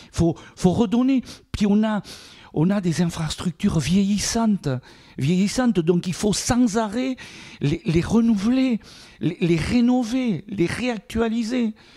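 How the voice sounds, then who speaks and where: Very slowly, a man speaks with a high pitch, ordinary pitch variation and a dark, mellow tone. He leaves long, frequent pauses. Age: 60s. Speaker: mayor. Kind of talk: interview. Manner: halting, many repetitions.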